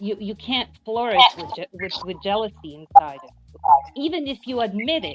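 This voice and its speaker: Over background music, a woman with a non-native accent speaks at a fairly quick pace in a high pitch with very wide pitch swings. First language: not English. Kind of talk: casual chat. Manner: halting.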